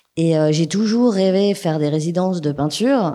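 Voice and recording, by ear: A woman's low-pitched voice in a dark, mellow tone.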